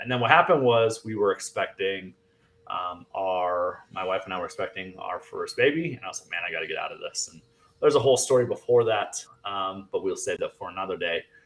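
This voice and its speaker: A man with an American accent speaks at a fairly quick pace. His loudness swings widely. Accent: Fargo accent, occasional. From US Midwest, North Dakota (Fargo). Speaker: real estate agent and sales trainer. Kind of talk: podcast interview. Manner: casual, many fillers.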